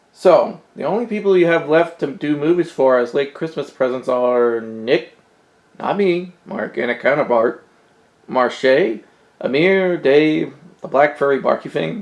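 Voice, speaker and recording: A put-on character voice with a low-to-middle pitch moves at a moderate pace over a quiet background. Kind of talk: comic sketch acting. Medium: comedy sketch.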